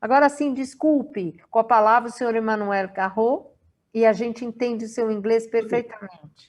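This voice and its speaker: Moderately paced, a woman talks with an unremarkable speaking voice. Her pitch sits fairly high and varies an ordinary amount. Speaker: webinar moderator. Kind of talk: reading aloud; event moderation.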